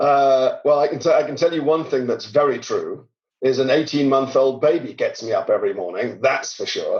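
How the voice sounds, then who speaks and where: Moderate pace from a man with a British accent. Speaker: tech company CEO. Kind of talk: podcast interview.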